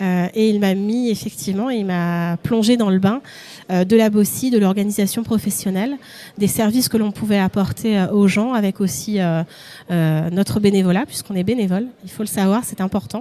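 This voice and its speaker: A woman's medium-pitched voice with ordinary pitch variation, amid noticeable background noise. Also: moderate pace. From Paris region, France. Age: 40s. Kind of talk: live event interview.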